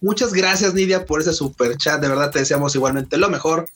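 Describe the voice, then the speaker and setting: Someone with a Mexican accent speaks over noticeable background noise. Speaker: anime podcast co-host. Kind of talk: casual livestream chat.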